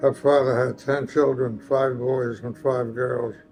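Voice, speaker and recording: Over music in the background, a man at a medium pitch speaks at a very slow pace with monotone, flat intonation. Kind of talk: family history interview answer.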